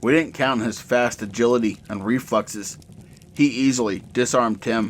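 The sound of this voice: The voice reads in an unforced way, its intonation fairly even.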